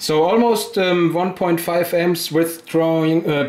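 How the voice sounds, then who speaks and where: A man speaks with a German accent. His pitch sits fairly high. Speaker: hobbyist experimenter, video maker. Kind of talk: tutorial. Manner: halting.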